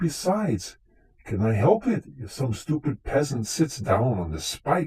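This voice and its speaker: Using a put-on character voice, a man pitches himself fairly high. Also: fairly slow pace. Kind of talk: live radio drama performance.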